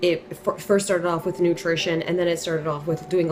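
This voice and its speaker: A woman speaks at a fairly low pitch. Noticeable background noise runs behind her. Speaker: wellness vlogger. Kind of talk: casual monologue. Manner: informal, conversational.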